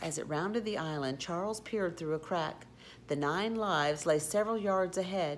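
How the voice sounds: What comes through is a natural reading voice.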